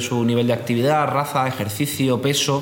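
A man talks at a moderate pace and medium pitch with ordinary pitch variation, with audible room echo and noticeable background noise. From Spain, Murcia. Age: 20s. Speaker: startup founder. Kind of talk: interview.

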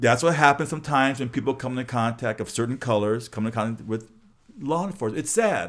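Delivered at a very fast pace in a Californian accent, the speech has an animated tone and ordinary pitch variation in a very clean recording with a silent background. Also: man, medium pitch for a man. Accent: Californian American English. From Los Angeles. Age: 60s. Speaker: podcast host, former high school teacher. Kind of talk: casual interview chat. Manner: animated, repetitive false starts.

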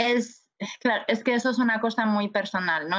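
This woman has a normal speaking voice, fairly high in pitch, with fairly even intonation. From Spain, Galicia (A Coruña). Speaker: nurse. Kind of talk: interview.

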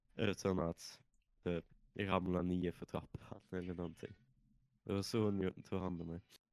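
A man's very deep, low voice in a flat monotone, fairly slow, with a dry, close sound and no echo. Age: 20s. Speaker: podcast co-host. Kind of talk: casual chat. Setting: online call. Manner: subdued.

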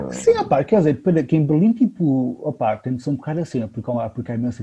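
A man at a very fast pace with lively intonation and hardly any pauses, music in the background. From Lisbon, Portugal. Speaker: podcast co-host. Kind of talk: casual chat.

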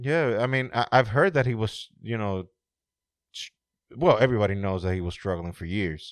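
With a plain, everyday voice, a man talks at a moderate pace and fairly low pitch, his intonation lively, over a quiet background. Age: 40s. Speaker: podcast host. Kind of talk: casual chat.

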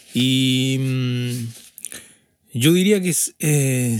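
Male speech, ordinary in pitch variation, with audible room echo. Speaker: podcast co-host and audio engineer. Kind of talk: casual chat. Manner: halting.

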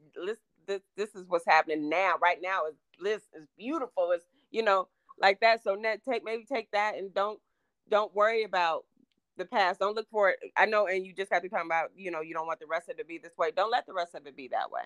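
In a plain, everyday voice, a woman talks at a fairly quick pace with medium pitch and ordinary pitch variation, the sound dry and close with no echo. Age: 50s. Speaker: podcast guest. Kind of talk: casual chat.

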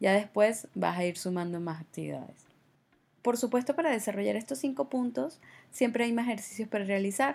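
On a very clean recording with a silent background, a woman with a fairly high pitch speaks fairly quickly, her tone animated and her intonation lively. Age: 30s. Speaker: podcast host. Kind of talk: solo monologue podcast.

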